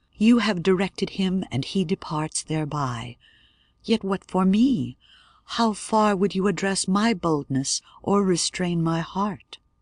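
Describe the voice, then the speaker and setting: Someone puts on a character voice at a middle pitch and a fairly slow pace. The background is quiet. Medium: read story. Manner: fearful, pleading.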